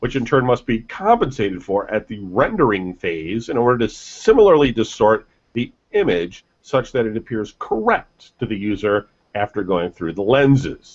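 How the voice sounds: The speech moves at a moderate pace with big pitch swings. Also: man, fairly low pitch for a man.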